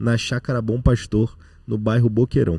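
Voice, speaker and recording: This dark, mellow voice is somewhat breathy and moves at a fairly slow pace. The recording is very clean, with a silent background. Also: man. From Rio de Janeiro, Brazil. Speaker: podcast co-host. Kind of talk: podcast interview; introducing a guest.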